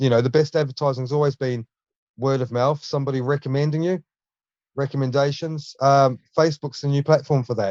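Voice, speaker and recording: With a New Zealand accent, a man talks at a fairly quick pace in a fairly high, monotone, flat voice. The sound is dry and close, with no echo. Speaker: junk removal business owner. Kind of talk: casual interview chat.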